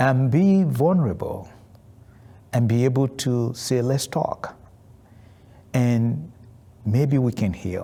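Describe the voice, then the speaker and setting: A man's medium-pitched, somewhat breathy voice with a dark, mellow tone, at a very slow pace. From Nigeria (Warri). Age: 60s. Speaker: artist. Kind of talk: documentary interview.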